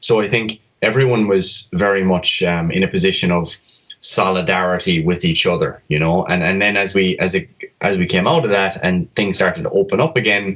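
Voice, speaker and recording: A man with a southwest Irish accent, fairly low in pitch, his loudness very even throughout. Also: ordinary pitch variation, fairly quick pace. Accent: southwest Irish (Kerry). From Ireland, County Kerry. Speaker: fitness coach and medical student. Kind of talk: podcast interview.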